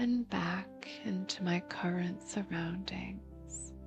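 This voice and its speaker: A soft-spoken woman at a very slow pace, with music in the background. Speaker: voice actor; meditation guide. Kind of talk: guided meditation. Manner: very slow, soft-spoken.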